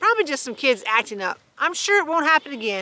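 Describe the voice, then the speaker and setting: A woman's raspy, put-on character voice, high-pitched and very fast, with very wide pitch swings. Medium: read story. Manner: harsh, commanding.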